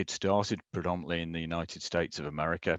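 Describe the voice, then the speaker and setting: A man with a British accent against a quiet background. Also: dry, close sound with no echo. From UK. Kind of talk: conference presentation.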